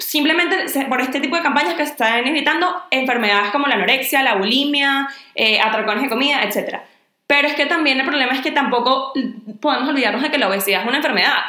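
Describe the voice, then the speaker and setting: In a Venezuelan accent, a woman speaks very fast in a high, raised, projected voice at very even loudness, with audible room echo and noticeable background noise. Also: ordinary pitch variation. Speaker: podcast co-host. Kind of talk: casual chat.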